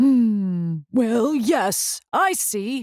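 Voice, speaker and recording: A woman's put-on character voice, fairly high and mumbling, with very wide pitch swings and a dry, close sound with no echo. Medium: read story. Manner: fussy, mumbling.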